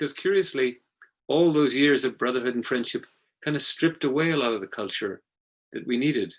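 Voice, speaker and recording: With a fairly high pitch and ordinary pitch variation, a man talks at a fairly quick pace. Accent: Irish. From Ireland. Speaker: former journalist. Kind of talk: panel discussion.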